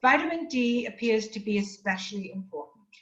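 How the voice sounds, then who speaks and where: Somewhat breathy, a woman with an English accent talks at a moderate pace and a fairly high pitch. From England. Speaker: nutrition specialist. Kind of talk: lecture. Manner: formal.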